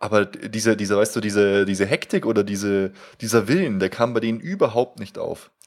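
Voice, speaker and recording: A man speaking at a fairly quick pace with fairly even intonation, very clean recording over a silent background. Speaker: fan podcast co-host. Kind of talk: casual chat. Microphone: new high-end microphone with pop filter.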